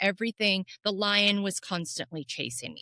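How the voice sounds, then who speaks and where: Her voice has a bright, sharp tone with vocal fry. The woman talks fairly quickly in a dry, close sound with no echo. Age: 50s. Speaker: podcaster and mental wellness advocate. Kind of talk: interview.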